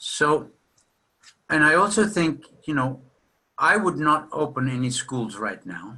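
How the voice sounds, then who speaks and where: A man speaks at a fairly slow pace in a fairly high pitch, with a bright, sharp tone, lively intonation and vocal fry. Long, frequent pauses break up his speech. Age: 60s. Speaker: psychotherapist lecturing at a seminar. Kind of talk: lecture.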